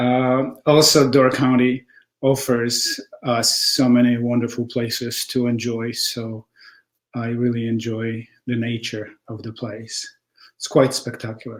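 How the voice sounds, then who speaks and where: A man's medium-pitched, monotone, flat delivery at a fairly slow pace, with a Polish accent. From Poland. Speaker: textile artist. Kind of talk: interview testimony. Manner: halting with many fillers.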